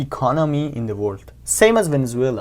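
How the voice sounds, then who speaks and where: With a Persian accent, a man speaks at a moderate pace using lively intonation. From Iran. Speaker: YouTuber. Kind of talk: casual commentary to camera. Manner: halting, with many fillers.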